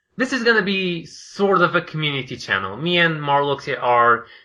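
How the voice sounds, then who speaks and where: A man with a Portuguese accent talks with ordinary pitch variation. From Portugal. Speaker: podcast co-host, video creator. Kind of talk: casual chat.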